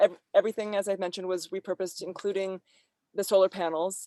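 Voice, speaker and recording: In an American accent, a woman speaks at a medium pitch. The recording is very clean, with a silent background and a dry, close sound with no echo. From California. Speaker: environmental performer and presenter. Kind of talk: Q&A discussion after presentation.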